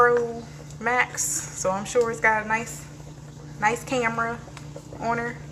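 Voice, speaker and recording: Noticeable background noise and audible room echo accompany a woman speaking at a fairly high pitch. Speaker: lifestyle vlogger, live streamer. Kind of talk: casual live stream chat. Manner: fast.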